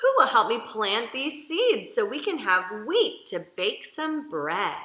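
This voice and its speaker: Using a put-on character voice, a woman talks fairly slowly at a high pitch. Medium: read story.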